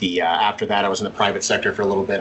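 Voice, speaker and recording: A man talks with an American accent over noticeable background noise. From Montana. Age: 50s. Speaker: card collector and detective. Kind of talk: casual chat.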